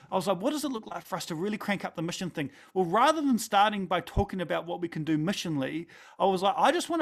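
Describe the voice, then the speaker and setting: A high-pitched man with a New Zealand accent and lively intonation on a very clean recording with a silent background. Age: 40s. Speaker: pastor. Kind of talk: talk. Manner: animated.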